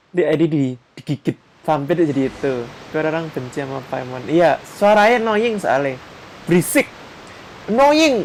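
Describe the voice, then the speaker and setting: A woman with an Indonesian accent, very deep and low in pitch, animated in tone with lively intonation, at a moderate pace with long, frequent pauses. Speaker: vtuber gamer streamer. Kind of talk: live gaming stream commentary.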